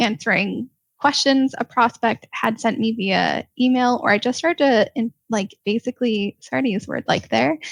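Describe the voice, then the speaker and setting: This voice has vocal fry and ordinary pitch variation, runs on with hardly any pauses, and sounds dry and close with no echo. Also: woman, fairly high pitch for a woman, moderate pace. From Ontario, Canada. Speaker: sales development rep. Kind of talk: casual interview.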